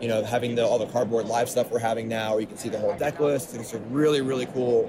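A man in an American accent speaks with monotone, flat intonation over noticeable background noise. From US Northeast, Long Island. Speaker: professional card game player. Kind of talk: casual chat. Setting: at a card game tournament venue.

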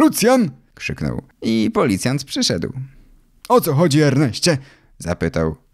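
With long, frequent pauses, a man speaks at a very slow pace in a very clean recording with a silent background. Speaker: audiobook narrator. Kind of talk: audiobook reading of a children's story, narrated in first person as a boy.

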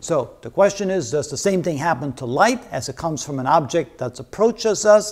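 Over a quiet background, a man talks with lively intonation. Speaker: physics lecturer. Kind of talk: lecture. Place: studio. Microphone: lapel.

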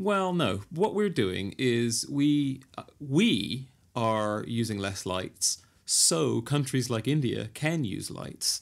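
A man's very slow delivery with very wide pitch swings. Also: medium pitch for a man. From England. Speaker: podcast co-host. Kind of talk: casual chat.

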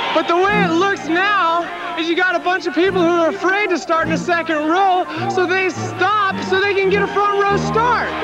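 A man at a moderate pace with hardly any pauses, and clear music in the background. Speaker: professional motocross racer. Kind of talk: speech addressed to the stadium crowd. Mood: indignant, fired up. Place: stadium. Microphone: handheld.

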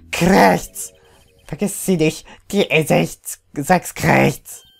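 Using a put-on character voice, a man talks at a very slow pace and a fairly high pitch. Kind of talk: comic amateur dub acting. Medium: fan dub. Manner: squawky, repetitive.

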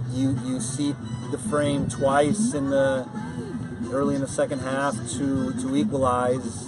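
Over loud music in the background, a man speaks at a fairly slow pace. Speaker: head coach. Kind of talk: interview answer. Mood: calm, reflective after loss. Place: stadium. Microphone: camera far.

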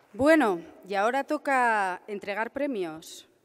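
Using a normal speaking voice, a woman with a fairly high pitch talks at a fairly slow pace with lively intonation. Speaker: event presenter; presenter. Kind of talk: formal event presentation. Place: hall. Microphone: podium.

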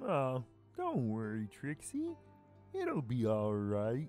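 Over clear music in the background, a put-on character voice speaks very slowly at a low-to-middle pitch. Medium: read story.

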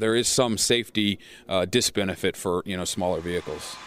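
A man in a normal speaking voice talks at a moderate pace with ordinary pitch variation, the sound dry with no echo and light background noise. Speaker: safety research spokesperson. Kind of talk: interview answer.

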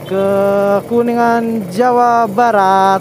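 The speech goes at a very slow pace. The sound is dry with no echo, with noticeable background noise behind it. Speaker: motovlogger. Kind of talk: casual vlog chat. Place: motorbike.

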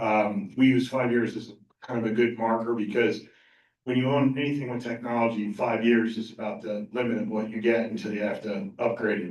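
The man speaks at a fairly quick pace with a medium pitch and fairly even intonation. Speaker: IT services company presenter. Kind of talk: presentation to school board. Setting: public board meeting. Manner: loud.

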